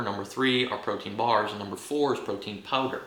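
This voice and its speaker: A man's voice comes through audible room echo. Noticeable background noise is present too. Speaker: fitness YouTuber. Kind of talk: casual unscripted monologue. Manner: profane, animated; stumbling over words.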